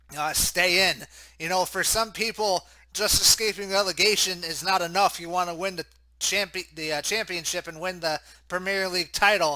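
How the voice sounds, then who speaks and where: A high-pitched man with an American accent talks in a raised, projected voice, bright and sharp in tone, at a moderate pace. His intonation is a flat monotone, and the recording is very clean with a silent background. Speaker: sports commentator. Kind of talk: live commentary.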